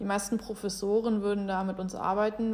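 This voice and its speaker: Monotone, flat intonation from a woman at medium pitch, moving at a moderate pace. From Germany. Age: 20s. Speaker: college golfer and student. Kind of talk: interview.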